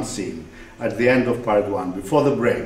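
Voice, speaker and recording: A man in a Greek accent, with audible room echo and noticeable background noise. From Greece. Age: 60s. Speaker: writer. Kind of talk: lecture.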